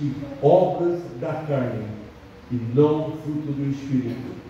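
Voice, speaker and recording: A man at a very slow pace with ordinary pitch variation, plus noticeable background noise and audible room echo. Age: 80s+. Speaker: pastor. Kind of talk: sermon. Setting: church. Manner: halting, many fillers.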